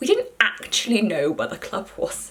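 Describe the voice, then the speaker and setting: Noticeable background noise accompanies a woman speaking at a moderate pace in an animated tone. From Yorkshire, northern England. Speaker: student vlogger. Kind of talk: casual vlog storytelling. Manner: animated, chatty with fillers.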